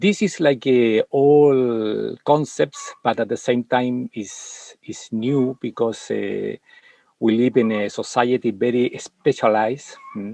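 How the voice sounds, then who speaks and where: With a non-native accent, a man speaks at a very slow pace in a dry, close sound with no echo. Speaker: martial arts and meditation master. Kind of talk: interview conversation. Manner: halting, many fillers.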